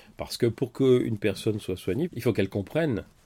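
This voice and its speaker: A man's dark, mellow voice at medium pitch and a fairly quick pace, very clean recording with a silent background. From France. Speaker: doctor and writer. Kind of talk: interview.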